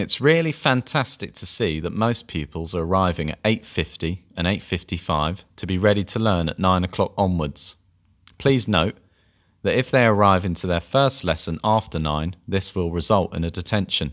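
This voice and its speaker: A man's very deep, low voice with a London accent, moderate pace and ordinary pitch variation, on a very clean recording with a silent background. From North London. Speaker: language teacher. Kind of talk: scripted presentation.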